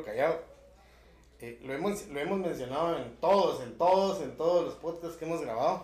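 A man with a Guatemalan accent talks at a fairly quick pace in a high voice. Noticeable background noise and audible room echo fill the recording. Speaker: podcast host. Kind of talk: casual chat.

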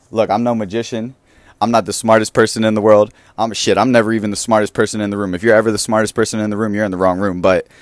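A man speaks very fast with an American accent. His pitch is fairly low. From Philadelphia, US East Coast. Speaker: podcast host. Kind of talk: motivational monologue. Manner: animated.

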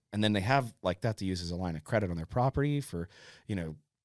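Lively intonation from a man with a western Pennsylvania accent, in a dry, close sound with no echo and a very clean recording against a silent background. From western Pennsylvania, Indiana PA. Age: 30s. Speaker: forester. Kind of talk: casual chat. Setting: studio.

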